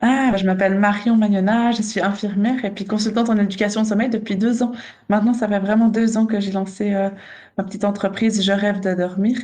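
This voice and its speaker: In a Swiss accent, a woman speaks at a fairly quick pace in a medium pitch with a dark, mellow, somewhat breathy tone and monotone, flat intonation, with audible room echo. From Switzerland. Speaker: nurse and sleep consultant. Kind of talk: casual chat. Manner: halting.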